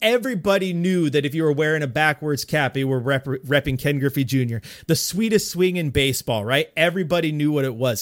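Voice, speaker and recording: In a very clean recording with a silent background, a man with a fairly high pitch talks very fast in an animated tone. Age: 30s. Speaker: sports podcast guest. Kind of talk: casual chat.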